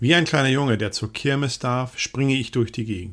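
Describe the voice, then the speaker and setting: A man with a plain, everyday voice speaks at a moderate pace and medium pitch, with ordinary pitch variation, on a very clean recording with a silent background. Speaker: diary reader narrator. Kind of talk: reading aloud a wartime diary in first person. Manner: sober, measured, grave.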